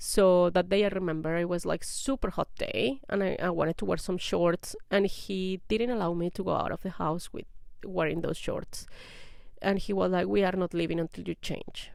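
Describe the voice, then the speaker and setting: A woman with a non-native accent at a moderate pace, medium pitch and ordinary pitch variation, in a very clean recording with a silent background. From outside English-speaking countries, moved abroad. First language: not English. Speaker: vlogger sharing personal experience. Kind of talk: personal testimony to camera. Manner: casual with hesitations.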